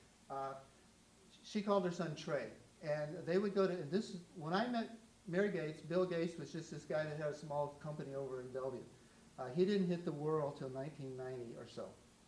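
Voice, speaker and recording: There is audible room echo around a man speaking at a fairly high pitch. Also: ordinary pitch variation, fairly quick pace. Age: 70s. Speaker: photographer. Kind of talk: artist talk with audience Q&A. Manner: halting.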